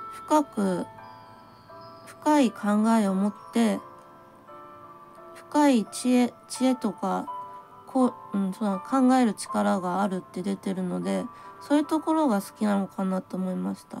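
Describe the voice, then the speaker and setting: A woman speaks at a fairly slow pace with lively intonation and long, frequent pauses while faint music plays in the background. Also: medium pitch for a woman. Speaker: tarot reader. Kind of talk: tarot reading talk to camera. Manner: plain, blunt natural voice; hesitant, thinking aloud. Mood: gentle, warm. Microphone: phone near.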